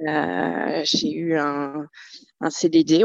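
Dry and close, with no echo, the sound carries a woman's voice. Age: 40s. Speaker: business owner. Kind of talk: interview. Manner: halting.

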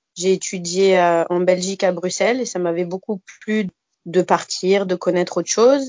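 Fairly slow and at medium pitch, a woman's ordinary speaking voice has fairly even intonation. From Alsace, France (Bas-Rhin). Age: 30s. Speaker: speech therapist. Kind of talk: casual interview.

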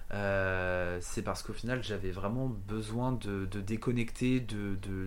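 Audible room echo surrounds a man whose voice shows ordinary pitch variation. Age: 20s. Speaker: podcast guest sharing a travel story. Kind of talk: casual chat. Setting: at home.

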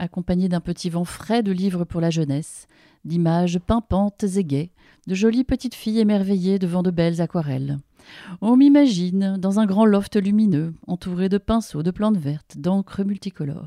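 A woman with a dark, mellow tone and medium pitch speaks at a moderate pace with ordinary pitch variation, in a dry, close sound with no echo. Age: 40s. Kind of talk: reading aloud from her book; interview conversation.

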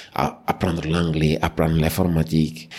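A man is talking here. His voice sits very deep and low. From Senegal, Dakar. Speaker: HSE manager and environmental activist. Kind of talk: podcast interview.

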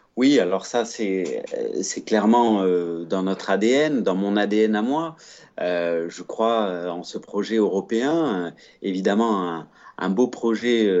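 A man's fairly low voice, very slow in pace, with ordinary pitch variation. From Provence, southern France. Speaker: think tank director, former sports lawyer. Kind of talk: podcast interview.

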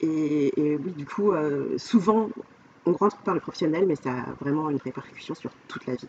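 Her pitch is very deep and low for a woman, with lively intonation. She keeps a moderate pace over noticeable background noise. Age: 40s. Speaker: life coach. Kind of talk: casual interview chat. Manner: hesitant, many fillers.

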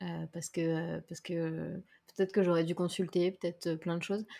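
Speaking at a moderate pace, a woman uses a fairly low voice with monotone, flat intonation. The recording is very clean, with a silent background. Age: 30s. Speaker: content creator and podcaster. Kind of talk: casual chat.

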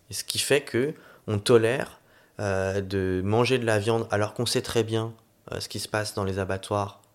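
This man has a plain, everyday voice with a fairly low pitch and fairly even intonation. He speaks at a fairly slow pace in a very clean recording with a silent background. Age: 30s. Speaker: city councillor and climate training director. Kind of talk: casual interview.

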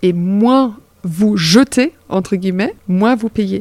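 A woman speaks at a very slow pace with a medium pitch and ordinary pitch variation. The sound is dry and close, with no echo. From Germany. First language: German (speaking French). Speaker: circular economy project director. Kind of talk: interview.

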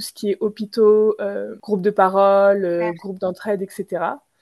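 A woman speaks at a medium pitch and a fairly slow pace, her dark, mellow tone delivered in monotone, flat intonation with a dry, close sound and no echo. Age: 20s. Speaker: entrepreneur. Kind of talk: interview. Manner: hesitant, many fillers.

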